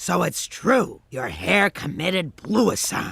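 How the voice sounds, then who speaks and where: Growling in a cartoonish character voice, a man speaks at a fairly slow pace with a high pitch. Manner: deadpan, sarcastic.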